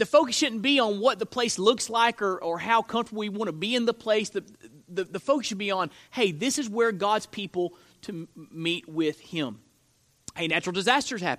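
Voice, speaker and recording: Loud and at a high pitch, a man talks at a moderate pace with lively intonation in a dry, close sound with no echo. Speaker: pastor. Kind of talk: sermon. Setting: church.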